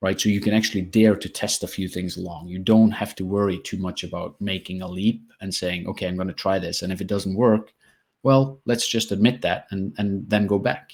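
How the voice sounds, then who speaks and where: With a normal speaking voice, a man talks at a fairly low pitch and fairly even intonation in a very clean recording with a silent background. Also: fairly quick pace. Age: 40s. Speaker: tech company CEO. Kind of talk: interview.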